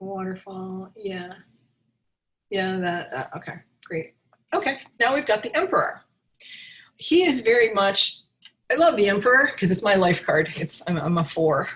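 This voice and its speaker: This woman's voice is somewhat breathy. She speaks at a moderate pace. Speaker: tarot reader and teacher. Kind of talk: online class. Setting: video webinar. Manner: halting, many restarts.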